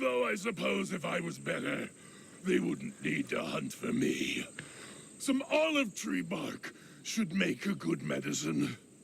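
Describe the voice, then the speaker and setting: A man's put-on character voice at a fairly slow pace over clear background noise. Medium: video game. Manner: calm, unworried.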